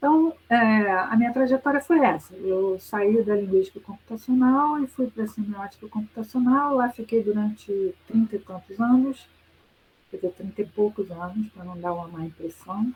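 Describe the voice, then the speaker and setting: Somewhat breathy, a woman at a fairly high pitch speaks at a moderate pace with ordinary pitch variation and big swings in loudness. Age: 60s. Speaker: professor. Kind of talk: lecture. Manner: conversational with hesitations.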